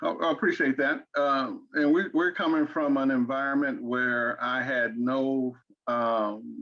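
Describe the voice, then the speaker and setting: Against a quiet background, a man speaks fairly slowly with an Arkansas accent. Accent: Southern US (Arkansas). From Arkansas, US South. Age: 60s. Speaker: interview guest, father and grandfather. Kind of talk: interview. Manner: halting, many repeated words.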